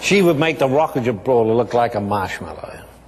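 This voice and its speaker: Over noticeable background noise, a man with an Australian accent speaks at a moderate pace and medium pitch, with lively intonation. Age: 70s. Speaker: businessman. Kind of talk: testimony.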